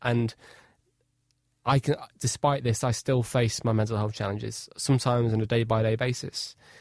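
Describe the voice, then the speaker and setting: At a fairly quick pace, a man talks at medium pitch in a northwest English accent. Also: dry, close sound with no echo. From Cheshire, England. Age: 20s. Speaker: inspirational speaker and adventurer. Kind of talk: radio interview. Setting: radio studio.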